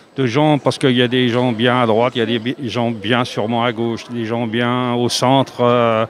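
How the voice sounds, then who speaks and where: A medium-pitched man's voice against noticeable background noise. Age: 70s. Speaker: passer-by in street interview. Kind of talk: street interview. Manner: hesitant, many fillers.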